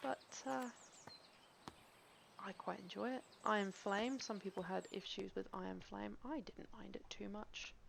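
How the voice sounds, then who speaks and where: A woman's voice with ordinary pitch variation and a Cornish accent. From Cornwall, England. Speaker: game streamer. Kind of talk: casual chat. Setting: live stream. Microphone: gaming headset, poor audio.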